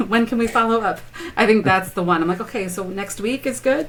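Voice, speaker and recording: The speaker is a woman with a medium-pitched voice. Her pitch varies an ordinary amount. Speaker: health insurance broker. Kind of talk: interview. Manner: not fast-talking, conversational; hesitant, many fillers.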